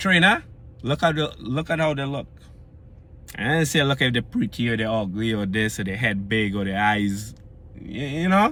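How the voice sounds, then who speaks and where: Lively intonation and an animated tone from a man of medium pitch, at a moderate pace with long, frequent pauses. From Trinidad and Tobago. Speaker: fitness vlogger. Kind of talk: casual vlog monologue. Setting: recorded after pulling into home yard. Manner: animated, conversational.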